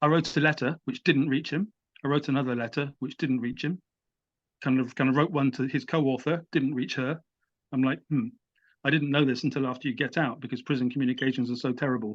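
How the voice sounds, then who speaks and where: Against a quiet background, a man talks at a very fast pace at medium pitch with fairly even intonation. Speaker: writer and editor. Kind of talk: interview. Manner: halting.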